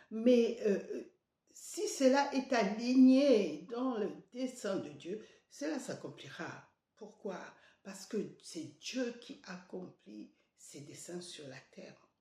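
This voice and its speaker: The pitch swings very widely and the loudness rises and falls sharply, with vocal fry, a very slow pace and audible room echo. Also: woman, fairly high pitch for a woman. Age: 70s. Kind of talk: devotional sermon. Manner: halting, many hesitations.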